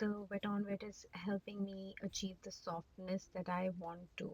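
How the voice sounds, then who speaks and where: A somewhat breathy woman talks at a fairly slow pace in a dry, close sound with no echo. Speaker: watercolor art teacher. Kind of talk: tutorial. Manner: halting.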